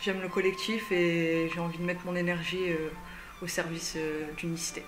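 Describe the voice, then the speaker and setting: Music plays in the background as a woman speaks at a medium pitch and a fairly slow pace. Her intonation is monotone and flat, with audible room echo. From northern France, Dunkirk area. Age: 20s. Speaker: civic service volunteer. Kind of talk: self-introduction.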